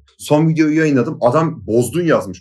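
A man talks at a very fast pace. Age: 20s. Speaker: YouTube content creator. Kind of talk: casual chat.

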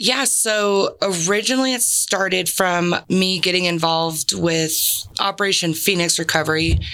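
A woman with an American accent talks at a moderate pace, with hardly any pauses. Her tone is bright and sharp, her loudness very even, and her pitch variation ordinary. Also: medium pitch for a woman. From San Diego, California. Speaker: army veteran and veteran mentor. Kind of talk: interview.

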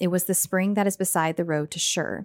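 At a moderate pace, a woman speaks in a normal speaking voice that is fairly low, recorded very cleanly against a silent background with a dry, close sound and no echo. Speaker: podcast co-host and Bible reader. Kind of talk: casual chat with scripture reading.

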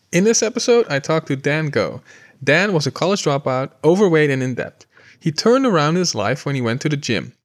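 Lively intonation and a fairly quick pace mark a man's voice in a dry, close sound with no echo. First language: not English. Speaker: podcast host, company co-founder. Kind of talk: scripted intro; interview.

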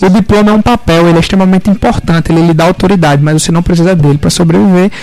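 A man's high pitch at a very fast pace, fairly even intonation, and noticeable background noise. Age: 20s. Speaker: young entrepreneur and law student. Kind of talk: radio interview.

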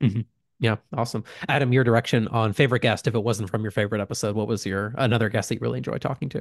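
A man talks at a very fast pace with a medium pitch and fairly even intonation. The sound is dry and close, with no echo. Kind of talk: casual chat. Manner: fast talker.

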